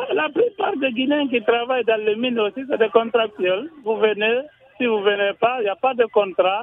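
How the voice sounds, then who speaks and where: A man talks at a moderate pace with ordinary pitch variation. His pitch is extremely high. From Guinea, Kindia. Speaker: radio caller. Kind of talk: call-in opinion.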